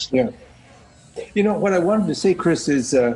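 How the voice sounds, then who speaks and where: A man with an American accent and lively intonation, over noticeable background noise. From US Midwest. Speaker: scrum master. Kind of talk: casual chat. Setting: video call.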